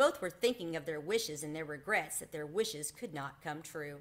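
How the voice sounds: Lively intonation at a moderate pace. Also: woman.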